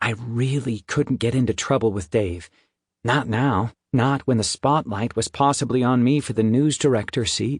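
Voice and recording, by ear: Against a quiet background, the text is read aloud in a natural voice.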